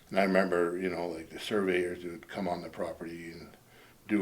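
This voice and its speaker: With a western Canadian accent, a man speaks fairly quickly in a very deep, low pitch and a monotone, flat intonation, with audible room echo. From British Columbia interior, Canada. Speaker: local resident recalling history. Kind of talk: oral history interview.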